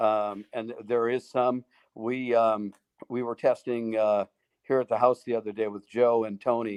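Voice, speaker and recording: With a dry, close sound and no echo, a man at medium pitch speaks fairly slowly in a monotone, flat intonation. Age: 60s. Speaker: golf equipment executive and putter designer. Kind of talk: live interview Q&A. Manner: halting, many fillers.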